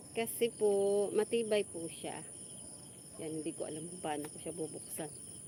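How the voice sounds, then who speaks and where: At a fairly slow pace, a woman with fairly low pitch and ordinary pitch variation speaks with big swings in loudness. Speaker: vlogger. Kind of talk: casual livestream chat.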